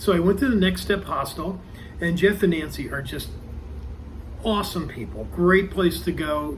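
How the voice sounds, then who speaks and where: Moving at a moderate pace, a man speaks amid audible room echo. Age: 60s. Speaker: thru-hiker vlogger. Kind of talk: casual vlog monologue. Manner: hesitant with many ums.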